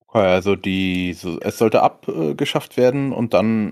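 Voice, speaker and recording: Very clean against a silent background, a man talks in a normal speaking voice at a moderate pace and fairly low pitch. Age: 30s. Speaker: podcast host. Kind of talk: casual chat.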